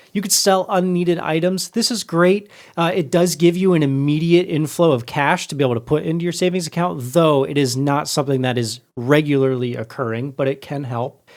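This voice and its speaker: The man has a plain, everyday voice at a fairly high pitch. He speaks at a fairly quick pace with ordinary pitch variation. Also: very clean recording, silent background. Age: 20s. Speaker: podcast host. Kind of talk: casual chat.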